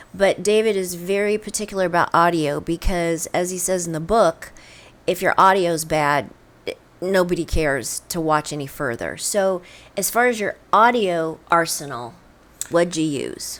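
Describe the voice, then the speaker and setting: The pitch variation is ordinary. The pace is moderate. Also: woman, fairly low pitch for a woman. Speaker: podcast host. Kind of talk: interview. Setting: podcast.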